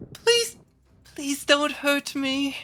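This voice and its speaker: Someone speaks in a put-on character voice at a high pitch. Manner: pleading, frightened.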